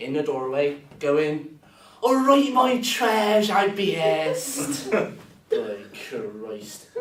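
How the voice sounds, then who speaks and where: The speaker has a strong West Country accent and lively intonation. Noticeable background noise and audible room echo fill the recording. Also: man. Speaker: student performance poet. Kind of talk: performance poetry.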